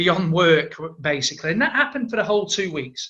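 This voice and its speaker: A man with a strong Manchester accent, bright and sharp in tone, at a fairly quick pace. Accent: thick Manchester. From Manchester, northern England. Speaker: entrepreneur. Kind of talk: interview.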